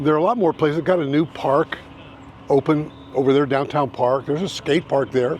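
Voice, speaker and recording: A man talks at a moderate pace with fairly high pitch. Noticeable background noise is present. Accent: American. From Indiana, US Midwest. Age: 70s. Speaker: realtor and YouTuber. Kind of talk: casual vlog talk. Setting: outdoors.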